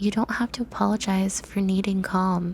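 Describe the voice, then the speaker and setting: A woman talks at a moderate pace and medium pitch, in an unremarkable speaking voice. Her intonation is fairly even. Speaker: ASMR roleplay performer. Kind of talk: ASMR comfort roleplay script reading. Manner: soft-spoken, gentle, reassuring.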